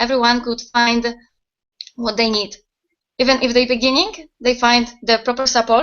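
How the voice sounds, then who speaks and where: With a Polish accent, a woman speaks at a fairly slow pace in a high-pitched, monotone, flat delivery. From Poland. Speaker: website owner, network marketer. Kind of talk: interview answers. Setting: video call. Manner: halting.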